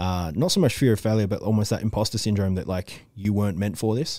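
Speech in an Australian accent races at a very fast pace, with a dark, mellow tone. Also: man. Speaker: interviewer. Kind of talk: casual interview. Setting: video call.

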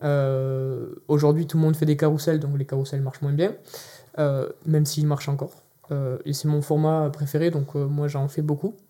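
In a monotone, flat intonation, a man with a fairly high pitch speaks at a moderate pace with long, frequent pauses. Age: 20s. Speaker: LinkedIn content project manager. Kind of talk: interview. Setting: video studio.

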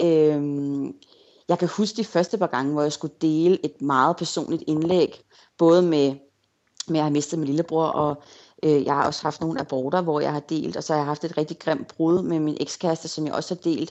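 A woman's voice sits very deep and low in pitch. She speaks at a moderate pace with fairly even intonation. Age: 30s. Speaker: blogger. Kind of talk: interview.

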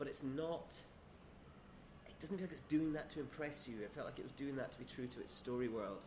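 Somewhat breathy, a man talks at a fairly quick pace with ordinary pitch variation. Room echo is audible. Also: fairly high pitch for a man. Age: 30s. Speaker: screenwriter. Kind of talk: casual chat. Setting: quiet bar.

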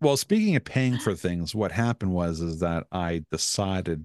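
At a moderate pace, a man talks in a very deep, low pitch, the sound dry and close with no echo and the background quiet. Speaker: podcast host. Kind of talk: casual chat. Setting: recorded with webcam and microphone.

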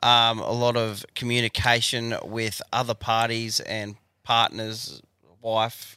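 A man's medium-pitched voice with an Australian accent, bright and sharp in tone, flat and monotone, at a very slow pace, on a very clean recording with a silent background. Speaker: podcast co-host. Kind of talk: casual chat.

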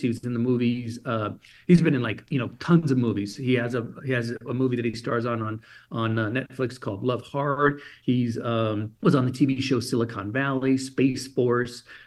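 A man with a General American accent speaks at a moderate pace in a plain, everyday voice, his medium pitch held to a fairly even intonation. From Germany. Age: 50s. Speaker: motivational speaker. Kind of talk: interview. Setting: phone call.

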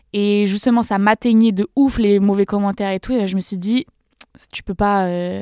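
At a moderate pace, a woman with a dark, mellow tone speaks in a fairly even intonation. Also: dry, close sound with no echo, very clean recording, silent background. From France, countryside near Dreux (Eure-et-Loir). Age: 20s. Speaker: social media creator. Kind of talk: casual chat. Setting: studio.

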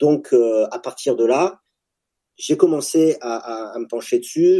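A man talks at a fairly slow pace in a fairly high voice with a dark, mellow tone and ordinary pitch variation. The recording is very clean, with a silent background. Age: 40s. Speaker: startup founder, former special forces soldier. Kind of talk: casual interview.

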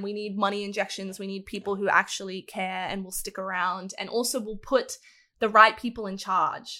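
In an Australian accent, a woman speaks at a moderate pace and medium pitch with a bright, sharp tone and monotone, flat intonation. The recording is very clean, with a silent background. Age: 20s. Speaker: esports content creator. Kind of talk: casual chat.

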